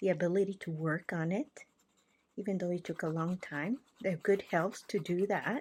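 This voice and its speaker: A woman speaks at a medium pitch with a somewhat breathy sound. Her pace is moderate and her pitch varies in an ordinary way. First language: not English (English is third language). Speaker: art journaling creator. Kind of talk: casual craft tutorial talk with faith reflection. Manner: casual, hesitant.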